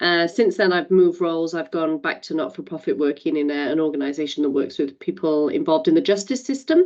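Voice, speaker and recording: Her fairly low voice races along at a very fast pace, and this woman's intonation is lively. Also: hardly any pauses. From Wales. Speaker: community advisory council member. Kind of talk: meeting introduction.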